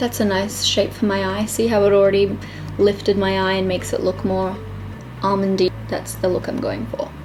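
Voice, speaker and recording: A woman with an Australian accent talks at a moderate pace over noticeable background noise. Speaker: beauty vlogger. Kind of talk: casual makeup tutorial talk to camera. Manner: scattered, chatty.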